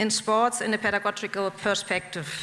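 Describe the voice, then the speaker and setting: A woman with a German accent, against noticeable background noise. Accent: non-native English, German. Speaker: professor. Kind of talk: lecture. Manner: slow and deliberate; halting.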